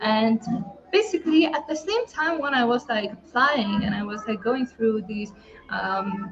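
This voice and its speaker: A woman's high-pitched voice with lively intonation at a moderate pace, music playing in the background. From Lithuania. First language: Lithuanian. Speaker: online entrepreneur. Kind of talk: testimony. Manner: halting.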